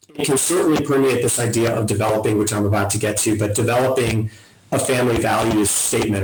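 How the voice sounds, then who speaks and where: Against noticeable background noise, a man talks at a very fast pace with fairly even intonation. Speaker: family wealth advisor, webinar presenter. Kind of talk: webinar presentation.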